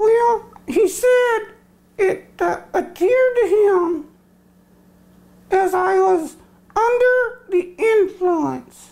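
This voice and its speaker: A man does a cartoonish character voice at an extremely high pitch. He talks at a very slow pace with long, frequent pauses. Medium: puppet.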